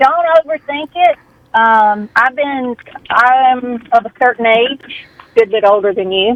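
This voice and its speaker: Speaking at a very slow pace, a woman with a Southern US accent has a high pitch and ordinary pitch variation. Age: 60s. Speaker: caller. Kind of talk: casual chat.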